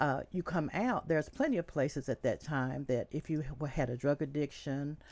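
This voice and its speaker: With an American accent and a very deep, low voice, a woman speaks at a moderate pace with ordinary pitch variation on a very clean recording with a silent background. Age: 60s. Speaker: county commission candidate. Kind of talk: interview.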